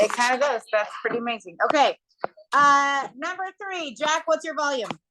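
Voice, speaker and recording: A woman's raised, projected voice, high in pitch, with lively intonation at a moderate pace. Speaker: math teacher. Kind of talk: classroom lesson. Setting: classroom. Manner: loud.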